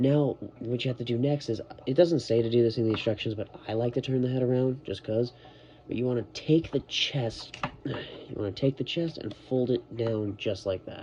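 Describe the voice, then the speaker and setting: Over noticeable background noise, a man with a medium-pitched voice talks at a moderate pace and keeps his intonation fairly even. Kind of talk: toy review, casual talk to camera. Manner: casual, giggly.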